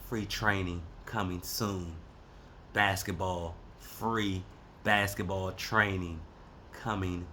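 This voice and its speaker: A man with a very deep, low voice speaks in a flat monotone, his tone bright and sharp. He leaves long, frequent pauses, and the room echo is audible. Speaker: podcast host and basketball coach. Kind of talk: casual monologue. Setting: livestream.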